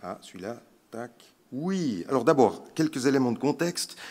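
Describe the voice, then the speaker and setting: This man talks at a very slow pace in a Swiss accent. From Switzerland (French-speaking). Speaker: palliative care physician. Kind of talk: conference talk. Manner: hesitant, many fillers.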